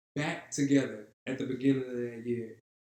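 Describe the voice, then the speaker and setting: Speaking with a New Orleans accent, a man keeps a medium pitch, fairly even intonation, and a moderate pace. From New Orleans, Louisiana. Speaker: artist. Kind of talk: casual chat.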